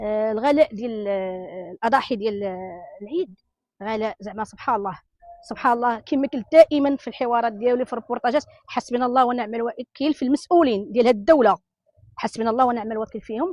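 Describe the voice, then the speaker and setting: A woman with a Moroccan accent, fairly high in pitch, animated in tone, at a fairly quick pace with ordinary pitch variation, in a dry, close sound with no echo. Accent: Moroccan Darija. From Morocco. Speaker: interviewee in street report. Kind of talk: angry street interview rant.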